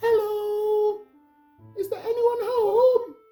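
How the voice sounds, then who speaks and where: A man's put-on character voice, extremely high and monotone with flat intonation, over faint music in the background. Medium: read story.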